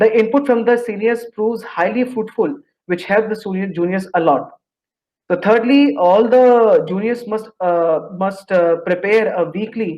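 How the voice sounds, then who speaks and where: In an Indian accent, a man speaks at a moderate pace with a high pitch and ordinary pitch variation. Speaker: engineering graduate student. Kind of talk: interview about job placement.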